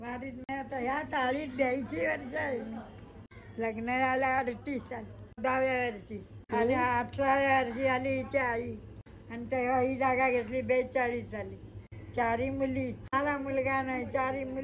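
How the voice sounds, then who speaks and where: A woman speaks with a high pitch. Her intonation is monotone and flat. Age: 80s+. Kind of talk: interview answer.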